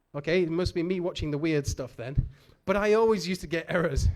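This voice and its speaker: A man in a Manchester accent talks at a moderate pace. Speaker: conference speaker. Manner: casual, jokey with audience.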